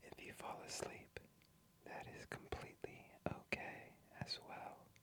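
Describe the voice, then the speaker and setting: Whispering at a very slow pace, a man speaks. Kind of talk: ASMR sleep trivia. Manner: soft-spoken, whispered, slow.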